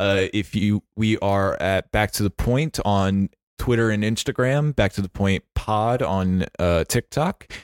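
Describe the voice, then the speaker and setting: In a very clean recording with a silent background and a dry, close sound with no echo, a man with a plain, everyday voice speaks at a fairly low pitch and a fairly slow pace, with ordinary pitch variation, very even loudness and hardly any pauses. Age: 20s. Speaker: podcast host. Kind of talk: casual chat; podcast outro with calls to action.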